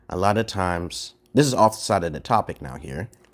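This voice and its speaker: The recording is very clean, with a silent background. A man with a very deep, low pitch and ordinary pitch variation talks at a fairly quick pace. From Brooklyn, New York. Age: 40s. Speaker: live streamer. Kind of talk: casual chat. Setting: livestream. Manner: fast.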